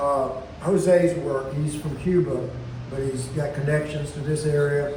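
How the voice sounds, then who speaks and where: Noticeable background noise and audible room echo surround a man speaking at a fairly slow pace, his pitch fairly high and intonation fairly even. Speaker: event organizer of a small press. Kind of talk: event welcome speech. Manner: halting, repeats words; projecting loudly.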